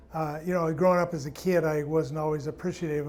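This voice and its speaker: A man's fairly high pitch at a fairly quick pace, monotone and flat in intonation, with audible room echo. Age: 70s. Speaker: pastor. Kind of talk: testimony. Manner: halting.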